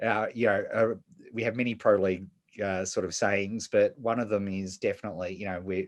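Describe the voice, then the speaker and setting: The speech comes fairly quickly in an Australian accent with monotone, flat intonation, over a quiet background. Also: man, fairly low pitch for a man. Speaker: podcast host. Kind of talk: interview. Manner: halting, many repeated words.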